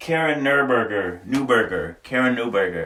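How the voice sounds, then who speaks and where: The voice is loud, with a bright, sharp tone. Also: man. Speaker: livestreamer. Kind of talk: casual live-stream chat. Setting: sauna. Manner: animated.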